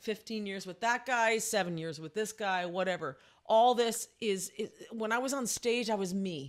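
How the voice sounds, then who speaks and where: Heard on a very clean recording with a silent background, a woman uses an ordinary speaking voice, fairly high in pitch with ordinary pitch variation. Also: moderate pace. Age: 50s. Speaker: vocal teacher. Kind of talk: casual chat.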